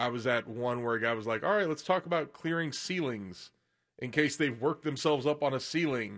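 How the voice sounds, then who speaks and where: Against a quiet background, a man with a plain, everyday voice speaks at a moderate pace with lively intonation. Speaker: co-host. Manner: laid-back, joking.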